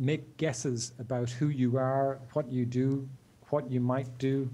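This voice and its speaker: A man talks at a very slow pace and medium pitch. His tone is dark, mellow and somewhat breathy, with monotone, flat intonation. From Ireland. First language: English (speaking French). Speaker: digital rights advocate. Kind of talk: interview. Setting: remote video call. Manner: halting, many fillers.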